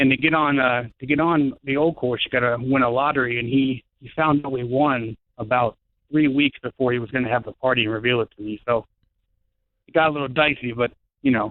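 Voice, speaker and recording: A normal speaking voice from a man, medium in pitch, with fairly even intonation at a fairly quick pace. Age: 30s. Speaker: caller. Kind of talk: radio call-in. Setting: phone call.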